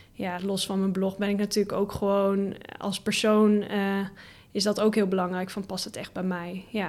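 A woman speaks in a monotone, flat intonation at medium pitch and a moderate pace. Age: 20s. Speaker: full-time blogger. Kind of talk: podcast interview. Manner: hesitant with many fillers.

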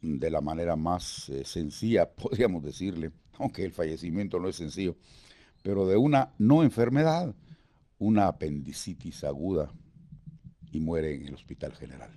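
The speaker moves at a moderate pace with lively intonation and a dark, mellow tone, leaving long, frequent pauses. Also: man, very deep, low pitch for a man. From Guatemala (Guatemala City). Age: 70s. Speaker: veteran radio announcer and actor. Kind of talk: interview reminiscence. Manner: halting.

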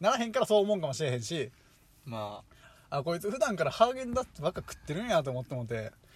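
With a Kansai accent, a man speaks very fast in a high pitch, his pitch swinging very widely and his loudness rising and falling sharply. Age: 20s. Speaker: podcast co-host. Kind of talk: casual chat.

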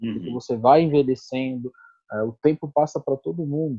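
Music plays in the background while a man speaks. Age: 30s. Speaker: guest discussing baldness. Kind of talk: casual chat.

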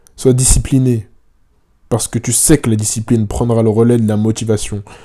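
This man's voice has a dark, mellow tone at a medium pitch. He talks at a fairly quick pace with monotone, flat intonation. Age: 20s. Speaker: YouTuber. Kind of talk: personal monologue to future self.

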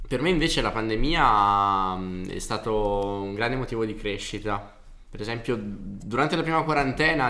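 The man's tone is bright and sharp, and his pitch varies in an ordinary way. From Brescia area, family from Naples. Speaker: guest musician, guitarist. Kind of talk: casual chat. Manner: halting, hesitant.

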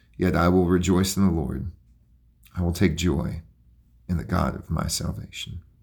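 With a very deep, low pitch and a warm tone, a man talks at a moderate pace with vocal fry, ordinary pitch variation and long, frequent pauses. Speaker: pastor. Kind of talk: fervent intercessory prayer for a nation, pleading petitions. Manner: earnest, pleading repetition of 'Please, Lord God'; warm, pastoral address to listeners.

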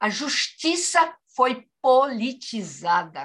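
A woman talks at a high pitch with lively intonation. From Madeira, Portugal; raised in Brazil from childhood. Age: 70s. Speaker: poet. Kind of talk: interview. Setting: video call.

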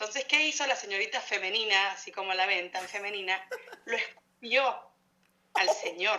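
A woman talks at a medium tempo, her mid-range pitch varying in the usual way. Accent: Argentine. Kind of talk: casual chat.

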